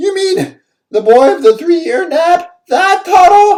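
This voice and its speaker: At a fairly slow pace, a put-on character voice talks with an extremely high pitch. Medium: read story. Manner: cowering, fretful.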